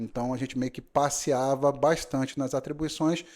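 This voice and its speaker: Speaking in a Rio de Janeiro accent, a man with a fairly high pitch and a dark, mellow tone talks at a moderate pace with fairly even intonation, on a very clean recording with a silent background. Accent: Rio de Janeiro (carioca) accent, noticeable. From Brazil, Rio de Janeiro city. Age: 40s. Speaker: notary. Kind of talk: podcast interview. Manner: hesitant, many fillers.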